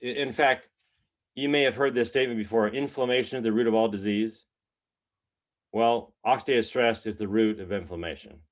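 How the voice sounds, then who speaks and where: A man with an ordinary speaking voice at medium pitch, ordinary pitch variation and a moderate pace, over a quiet background. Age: 60s. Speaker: health product distributor. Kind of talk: testimony.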